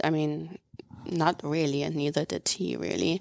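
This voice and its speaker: Speaking with a German accent, a woman has a very deep, low pitch and a dark, mellow tone. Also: dry, close sound with no echo. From Germany, city-raised. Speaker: former exchange student and host parent. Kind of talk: casual interview chat. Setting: studio.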